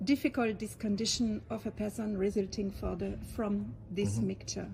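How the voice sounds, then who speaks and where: A woman with a French accent talks at a moderate pace. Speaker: interviewer. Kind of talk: interview question.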